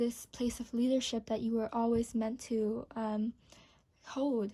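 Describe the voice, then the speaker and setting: In a very clean recording with a silent background, a woman with a non-native accent speaks in a dark, mellow tone at a fairly high pitch, her intonation monotone and flat. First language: not English. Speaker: tarot reader. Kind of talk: tarot reading to camera. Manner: hesitant, with fillers.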